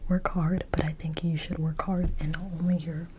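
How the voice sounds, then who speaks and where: A soft-spoken woman, whispering. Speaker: ASMR creator, Bible study reader. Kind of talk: ASMR Bible study ramble. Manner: soft-spoken, whispery, repeating words.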